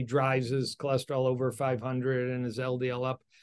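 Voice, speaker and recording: Against a quiet background, a man with a medium pitch uses a normal speaking voice at a moderate pace. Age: 60s. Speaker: cardiologist. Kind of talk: interview.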